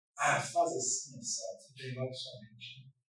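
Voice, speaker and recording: There is audible echo from the room. Within it, a man talks at a moderate pace. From Rio de Janeiro, Brazil. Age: 60s. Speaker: preacher. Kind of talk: sermon.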